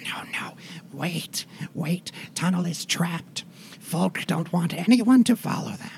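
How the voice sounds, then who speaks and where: Someone whispers in a put-on character voice at a fairly slow pace. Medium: actual play. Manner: clipped broken grammar.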